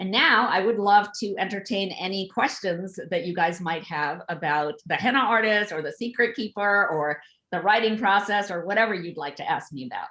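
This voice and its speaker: A woman talks at a moderate pace with hardly any pauses, her tone bright and sharp and her pitch varying in an ordinary way. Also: medium pitch for a woman. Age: 60s. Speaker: author. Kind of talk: author talk on video event.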